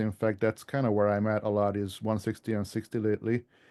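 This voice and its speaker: Against a quiet background, a man with a slight European accent speaks at a fairly quick pace. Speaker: ham radio author. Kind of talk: club presentation. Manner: hesitant, many fillers.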